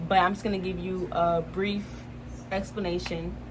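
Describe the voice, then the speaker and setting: A woman talks at a moderate pace. Room echo can be heard. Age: 20s. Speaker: lifestyle vlogger. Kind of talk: casual vlog talk.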